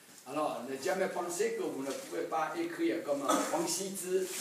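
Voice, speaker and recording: A man with a Taiwanese accent speaks at a fairly slow pace with a high pitch and lively intonation. Noticeable background noise and audible room echo are present. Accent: Taiwanese Mandarin accent in French. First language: Mandarin Chinese (speaking French). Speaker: Taiwanese official at calligraphy event. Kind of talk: public speech. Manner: halting, many fillers.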